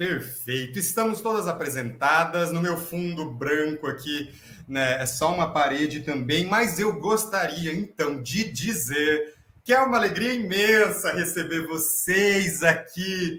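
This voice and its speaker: A fairly slow, high-pitched male voice full of lively intonation. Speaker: professor and host of staged reading. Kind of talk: dramatized interview hosting.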